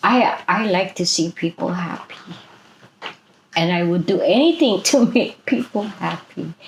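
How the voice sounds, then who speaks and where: A Hawaiian accent at a fairly slow pace, with long, frequent pauses over noticeable background noise. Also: woman, medium pitch for a woman, ordinary pitch variation. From Hawaii, Maui. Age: 60s. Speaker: activist. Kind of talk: interview.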